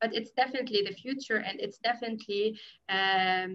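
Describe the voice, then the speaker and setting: Against a quiet background, a woman speaks at a fairly quick pace in a plain, everyday voice, fairly high in pitch with ordinary pitch variation. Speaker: NGO media program specialist; panelist. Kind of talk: panel discussion. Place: home room. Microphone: video call.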